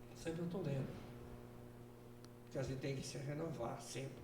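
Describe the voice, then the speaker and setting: With noticeable background noise and audible room echo, a man speaks with lively intonation. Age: 80s+. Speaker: deacon. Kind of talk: casual chat.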